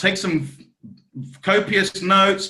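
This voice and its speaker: His tone comes across bright and sharp. The man talks at a very slow pace. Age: 40s. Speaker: network marketing team trainer. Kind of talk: team training talk. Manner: animated.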